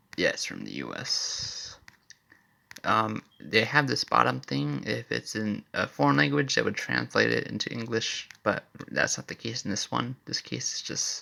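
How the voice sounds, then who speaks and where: A man talks at a moderate pace. His voice is quiet. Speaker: amateur inventor vlogger. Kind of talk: casual commentary walkthrough. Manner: talking quietly.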